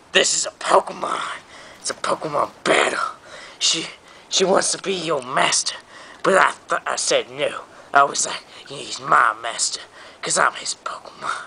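Whispering, a man speaks with long, frequent pauses. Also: moderate pace. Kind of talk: comic overacting. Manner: loud, blustering, bossy.

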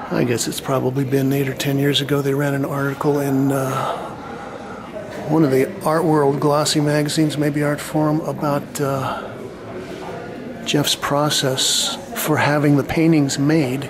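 Noticeable background noise runs beneath speech at a fairly slow pace. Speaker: painter reviewing an art show. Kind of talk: commentary. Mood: wry, critical. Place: hall. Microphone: phone near.

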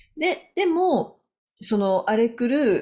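Her pitch swings very widely as a woman speaks in a dark, mellow tone. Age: 50s. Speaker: business consultant; business coach. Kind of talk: solo video talk. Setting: home. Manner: halting. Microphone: webcam.

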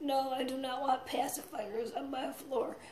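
A woman with a high voice talks at a fairly slow pace. Audible room echo surrounds her. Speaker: comedian, actress. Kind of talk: casual comedic vlog monologue. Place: home room. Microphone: phone near.

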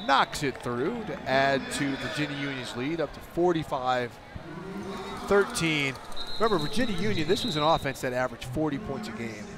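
Music plays in the background as a man with a fairly high pitch talks at a moderate pace with lively intonation. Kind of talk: live football play-by-play commentary.

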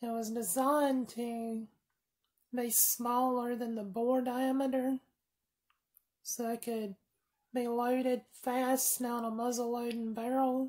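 Against a quiet background, a woman with an American accent speaks at a very slow pace and high pitch, her intonation monotone and flat, with long, frequent pauses. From US South. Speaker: firearms video creator. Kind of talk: tutorial. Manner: rambling, casual. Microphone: phone near.

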